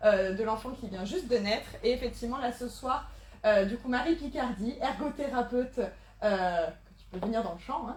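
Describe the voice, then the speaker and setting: A woman speaks loudly in a high pitch, with audible room echo and noticeable background noise. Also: ordinary pitch variation, moderate pace. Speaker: event organizer and host. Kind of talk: event introduction. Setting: live conference, in person and online. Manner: speaking loudly.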